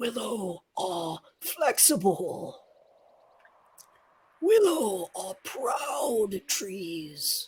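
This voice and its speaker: A raspy, put-on character voice at a fairly high pitch speaks very slowly. Long, frequent pauses break up the delivery. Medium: actual play. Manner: warm, gentle.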